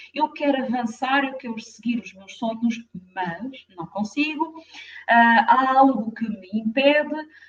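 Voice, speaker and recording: Fairly slow delivery with a French accent, ordinary pitch variation and big swings in loudness. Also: woman, high pitch for a woman. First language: French (speaking Portuguese). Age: 50s. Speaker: therapist. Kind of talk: live stream talk. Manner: hesitant, many fillers.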